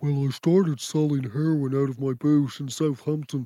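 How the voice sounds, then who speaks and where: Someone delivers a put-on character voice at a moderate pace. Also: man, fairly high pitch for a man. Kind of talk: dramatic documentary confessional. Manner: deadpan storytelling.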